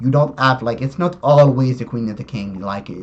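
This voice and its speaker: Ordinary pitch variation accompanies this speaker's non-native accent. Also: man. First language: not English. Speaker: chess YouTuber. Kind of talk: tutorial. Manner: halting, many fillers and self-corrections.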